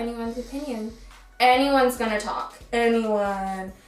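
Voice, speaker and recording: With audible room echo and noticeable background noise, a woman speaks at a moderate pace with fairly even intonation. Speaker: beauty YouTuber. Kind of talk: casual chat. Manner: loud.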